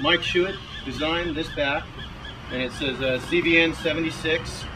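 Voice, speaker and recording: Amid audible room echo and noticeable background noise, a man with an American accent speaks at a fairly high pitch and a moderate pace, his intonation fairly even. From California (Santa Barbara). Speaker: firefighter. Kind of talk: interview.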